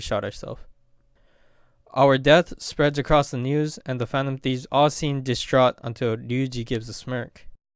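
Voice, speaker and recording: Over music in the background, a man at a medium pitch talks at a moderate pace with fairly even intonation. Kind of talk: game story explanation narration. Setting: home mic with occasional glitch noise. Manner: stuttering, reading off a script.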